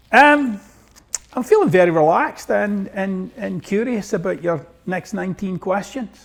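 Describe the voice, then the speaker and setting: A man with a high pitch talks at a moderate pace with a Glaswegian accent. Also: lively intonation. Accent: Glaswegian Scottish. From Scotland, East End of Glasgow. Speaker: self-help author. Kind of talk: interview.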